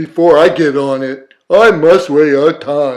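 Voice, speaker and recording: A man slips into a put-on character voice, fairly high in pitch and delivered fairly slowly. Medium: read story. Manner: earnest, gentle.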